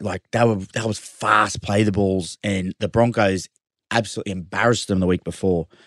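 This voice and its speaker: A man with an Australian accent speaks at a moderate pace and fairly low pitch over a quiet background. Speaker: rugby league player. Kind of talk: casual sports chat.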